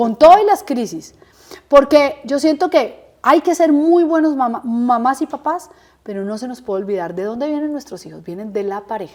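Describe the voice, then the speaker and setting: At a high pitch, a woman speaks in an animated tone with very wide pitch swings. Her loudness swings a lot, and her pace is moderate. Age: 50s. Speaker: interviewee sharing life story. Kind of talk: interview testimony.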